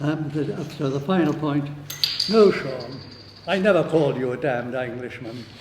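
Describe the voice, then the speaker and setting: Fairly high-pitched male speech with a Welsh accent at a fairly quick pace, with audible room echo and noticeable background noise. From Wales. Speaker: socialist activist speaker. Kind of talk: debate summing-up speech. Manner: halting, many fillers and restarts.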